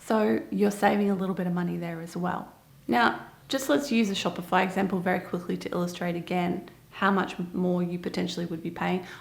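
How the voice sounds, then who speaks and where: A woman with an Australian accent talks at a fairly quick pace with a fairly low pitch and ordinary pitch variation. Audible room echo is present. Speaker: online seller and business video host. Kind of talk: casual explainer to camera. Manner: conversational, emphatic.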